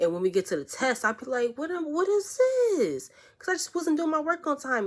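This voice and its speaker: Animated and fairly quick, a woman talks with very wide pitch swings. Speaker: vlogger giving school advice. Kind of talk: casual vlog monologue.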